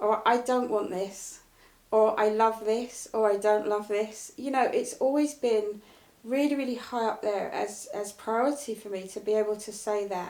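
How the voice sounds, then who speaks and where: Fairly high-pitched and fairly even in intonation, a woman speaks at a fairly slow pace. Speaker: motivational speaker and coach. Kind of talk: casual interview chat. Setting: live video stream. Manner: direct and blunt.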